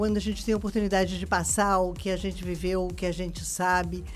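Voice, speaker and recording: A woman with a Rio de Janeiro accent, music in the background and audible room echo. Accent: Rio de Janeiro (carioca). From Rio de Janeiro, Brazil. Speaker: lecturer in people management. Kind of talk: radio interview. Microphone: sitting far from the mic.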